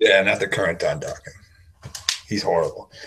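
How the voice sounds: With audible room echo, a man speaks at a moderate pace in a low pitch, his fairly bright tone carrying vocal fry and ordinary pitch variation.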